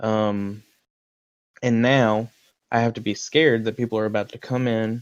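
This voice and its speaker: Fairly even intonation shapes a man's speech in a Southern US accent at a medium pitch. The background is quiet. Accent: southern twang. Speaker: podcast co-host. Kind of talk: reading own message aloud; casual chat.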